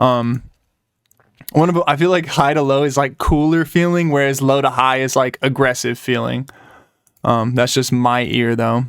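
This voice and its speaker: At a moderate pace, a man talks in an unremarkable speaking voice of medium pitch, with fairly even intonation and very even loudness. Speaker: music producer. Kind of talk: tutorial. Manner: casual, frequent fillers.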